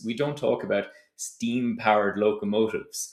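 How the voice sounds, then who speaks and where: A man speaks with a slight Tipperary accent at a moderate pace. His pitch is medium, with ordinary variation. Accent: slight Tipperary Irish. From Ireland, County Tipperary. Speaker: startup founder. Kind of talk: advice talk to camera.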